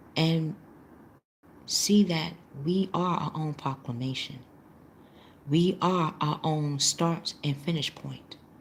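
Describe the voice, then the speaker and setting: A soft-spoken woman with a very deep, low voice and a somewhat breathy quality. She talks very slowly, with long, frequent pauses and fairly even intonation. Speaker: tarot reader. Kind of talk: live tarot reading class. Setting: live stream.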